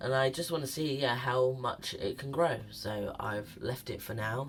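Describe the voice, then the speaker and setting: A somewhat breathy man's voice at medium pitch, with ordinary pitch variation and a moderate pace. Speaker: vlogger. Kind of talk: casual chat.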